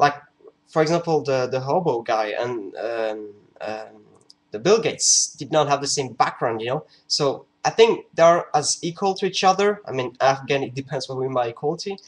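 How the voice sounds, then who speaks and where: Lively intonation marks a man's fairly high voice as he talks at a moderate pace. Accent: non-native. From France. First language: French. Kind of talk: casual talk to camera. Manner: hesitant, many fillers.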